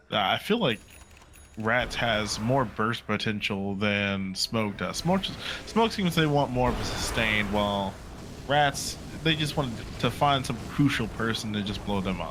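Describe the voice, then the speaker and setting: Noticeable background noise accompanies the speech. A man talks fairly slowly at medium pitch with ordinary pitch variation. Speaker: esports caster. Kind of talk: live commentary. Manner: quiet, talking little.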